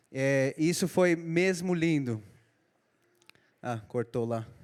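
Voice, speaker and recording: A man with a non-native accent talks at a fairly high pitch, recorded very cleanly against a silent background. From Israel, emigrated from São Paulo, Brazil at age eight. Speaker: preacher, Israeli army veteran. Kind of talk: sermon. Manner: halting.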